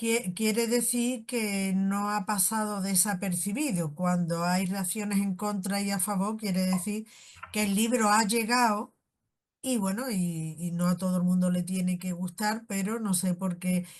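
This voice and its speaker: Against a quiet background, a woman speaks somewhat breathily at a fairly slow pace with fairly even intonation. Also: medium pitch for a woman. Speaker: podcast host. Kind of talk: interview question.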